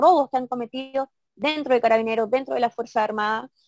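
A woman speaks at a fairly quick pace in a fairly high pitch. The sound is dry and close, with no echo. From Chile, Santiago (Maipú), then southern Chile from age 15. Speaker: former council candidate, local activist. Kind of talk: interview. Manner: halting, many repetitions and fillers.

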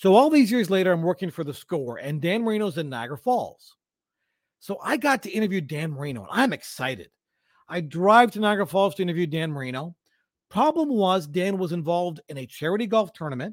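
In a very clean recording with a silent background, a man with a high pitch talks at a fairly quick pace, his pitch swinging very widely and his loudness shifting a lot. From London, Ontario, Canada. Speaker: sports broadcaster and teacher. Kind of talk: casual interview.

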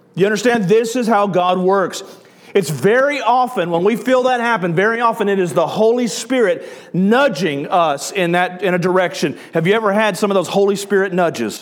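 With an American accent, a man speaks at a high pitch and a moderate pace, his pitch varying normally and his loudness very even, over audible room echo and noticeable background noise. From US South. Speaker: pastor. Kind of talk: sermon. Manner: animated.

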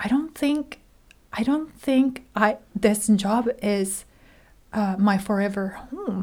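Speaking with a Japanese accent, a woman uses a fairly high, somewhat breathy voice with lively intonation. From Japan, Hiroshima. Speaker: graduate theology student. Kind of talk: casual chat.

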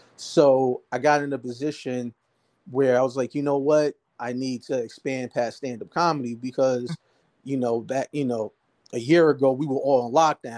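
Speaking with an American accent, a man keeps a moderate pace, medium pitch and fairly even intonation, in a dry, close sound with no echo. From New Jersey, Jersey City. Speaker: stand-up comedian and filmmaker. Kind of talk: casual interview storytelling.

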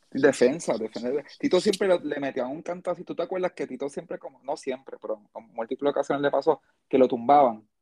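Talking fast with hardly any pauses, a man with a Puerto Rican accent speaks at a fairly high pitch with ordinary pitch variation and big swings in loudness, in a dry, close sound with no echo. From Puerto Rico. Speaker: podcast host. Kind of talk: casual chat.

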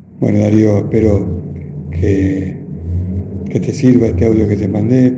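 Amid noticeable background noise and audible room echo, a man speaks at a fairly slow pace with a fairly low pitch and fairly even intonation. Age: 50s. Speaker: COVID survivor. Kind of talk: testimony. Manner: halting, hesitant.

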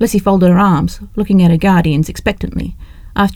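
The clip is reading aloud in a natural voice. It is delivered as a straight read.

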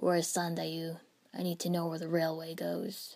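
A woman drawls at a moderate pace. Her fairly low voice stays monotone and flat. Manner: drawled, lazy.

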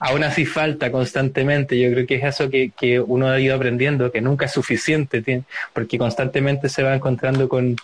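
His delivery comes at a fairly quick pace. This man's intonation stays flat and monotone. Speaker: livestream interview host. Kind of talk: casual interview.

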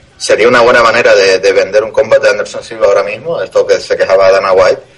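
A man talks over noticeable background noise. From Canary Islands (Tenerife). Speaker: MMA podcast co-host. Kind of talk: casual chat.

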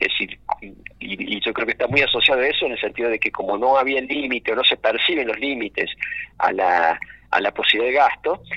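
With noticeable noise behind him, a man keeps to a moderate pace. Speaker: provincial finance minister and author. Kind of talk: radio interview. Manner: halting, many repetitions.

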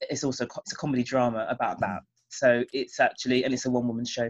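A woman with a British accent speaks at a very deep, low pitch. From England, Jamaican parents. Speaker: playwright and former singer-songwriter. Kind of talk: interview.

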